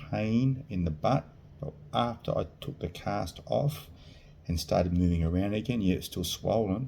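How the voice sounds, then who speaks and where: With an Australian accent, a man speaks at a moderate pace with a very deep, low pitch and a dark, mellow tone. His intonation is lively, and vocal fry is present. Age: 50s. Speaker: vlogger sharing surgery experience. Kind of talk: personal testimony vlog. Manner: halting.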